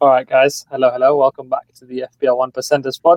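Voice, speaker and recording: Here a man speaks very fast with a British accent. His pitch is fairly high, and the sound is dry and close with no echo. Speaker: fantasy football podcast host. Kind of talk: casual chat. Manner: higher pitch than usual.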